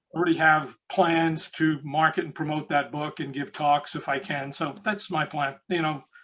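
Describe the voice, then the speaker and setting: With an American accent, a man talks with hardly any pauses, using fairly even intonation, a fairly high pitch and a bright, sharp tone. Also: moderate pace. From New York City, the Bronx. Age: 70s. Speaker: recruitment consultant and author. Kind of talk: interview.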